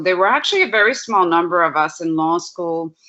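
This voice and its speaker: A woman's fairly low voice with a Spanish accent. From Puerto Rico. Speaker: law professor. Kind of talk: panel talk with slides.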